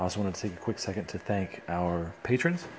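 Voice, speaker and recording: Very deep and low, a man's voice keeps a fairly even intonation. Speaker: podcast host. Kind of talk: casual interview. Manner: fast.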